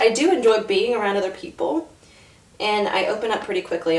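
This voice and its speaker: Noticeable background noise accompanies a woman talking with an American accent. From US South (Florida and north Georgia). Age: 30s. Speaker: mom vlogger. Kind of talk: casual vlog talk to camera.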